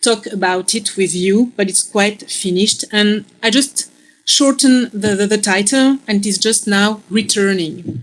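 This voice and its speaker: The voice has a French accent and a fairly slow pace. Its pitch varies in an ordinary way, with hardly any pauses. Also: woman, medium pitch for a woman. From Belgium. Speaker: philosophy lecturer. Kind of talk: lecture. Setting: video call.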